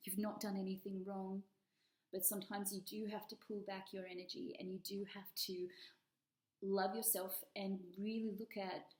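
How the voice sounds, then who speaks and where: A woman speaks with a strong Australian accent at a medium pitch and moderate pace. Her intonation is monotone and flat, with long, frequent pauses. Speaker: tarot reader. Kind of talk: tarot reading. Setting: at home, dining room table.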